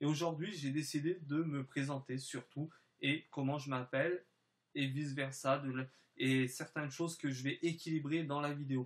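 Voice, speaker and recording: A man talks in monotone, flat intonation at a fairly high pitch. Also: moderate pace. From French and Spanish background, lived in southern France. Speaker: gaming YouTuber. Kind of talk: channel introduction vlog. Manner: halting, many filler hesitations.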